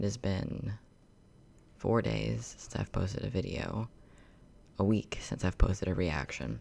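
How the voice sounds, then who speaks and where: At a fairly slow pace with long, frequent pauses, a man speaks with vocal fry, his very deep, low pitch swinging very widely. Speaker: YouTuber reacting to videos. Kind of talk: casual reaction commentary. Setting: home recording, empty room. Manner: quiet, talking softly; halting, many fillers. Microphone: echo in the room.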